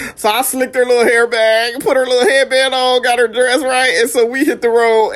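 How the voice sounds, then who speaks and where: A woman with a high pitch talks at a fairly quick pace with hardly any pauses and very even loudness, against noticeable background noise. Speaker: vlogger remembering late grandparents. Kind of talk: casual storytelling vlog. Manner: animated.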